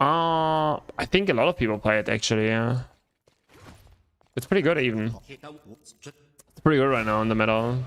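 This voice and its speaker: The voice carries a German accent and lively intonation. Its pace is moderate. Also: man, medium pitch for a man. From Germany. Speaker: gaming streamer. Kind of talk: casual live-stream chat while gaming. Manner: casual, animated.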